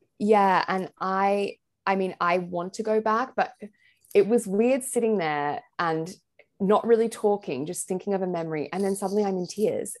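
A woman with an Australian accent talks at a moderate pace, at medium pitch and with ordinary pitch variation. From Australia, Sydney. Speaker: blogger and mental health advocate. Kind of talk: personal testimony in interview.

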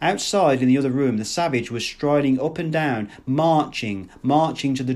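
In plain reading aloud, the pitch rises and falls in an ordinary way.

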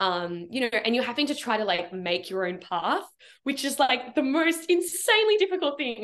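With an Australian accent, a woman talks at a fairly quick pace in a high voice, her tone animated and her pitch swinging very widely. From Melbourne, Australia. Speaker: performer and creative coach. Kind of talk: casual chat. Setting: video call. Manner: animated, friendly.

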